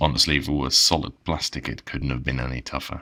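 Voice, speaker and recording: A man is speaking. His voice carries vocal fry. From Netherlands. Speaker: keyboard reviewer. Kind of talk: product review narration.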